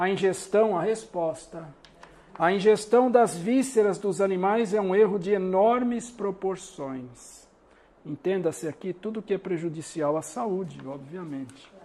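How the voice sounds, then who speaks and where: Speaking at a fairly slow pace, this man has a high-pitched voice. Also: ordinary pitch variation. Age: 60s. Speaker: spiritist lecturer. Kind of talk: lecture.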